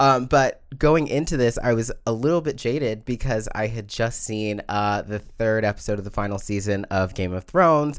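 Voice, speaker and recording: This man talks at a moderate pace with a medium pitch and ordinary pitch variation. He hardly pauses at all. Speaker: podcast co-host. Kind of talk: casual chat. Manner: loud.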